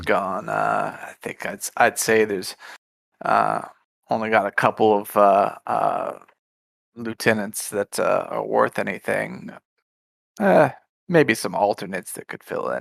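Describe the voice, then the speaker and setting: In a raspy, put-on character voice, a man speaks at a fairly slow pace with big swings in loudness and long, frequent pauses, in a dry, close sound with no echo. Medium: actual play. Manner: casual, rough-spoken, halting.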